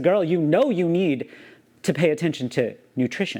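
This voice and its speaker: Against a quiet background, the speaker's tone is animated, with an American accent. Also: man. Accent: slight Southern accent, largely masked. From US South. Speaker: YouTuber. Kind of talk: personal vlog monologue. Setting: alone talking to camera.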